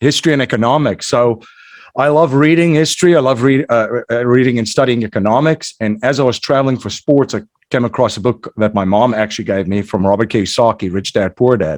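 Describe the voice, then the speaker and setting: Here is a man with a South African accent. His delivery is fairly quick. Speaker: entrepreneur and investor, podcast host. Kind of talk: interview. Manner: many fillers and repetitions.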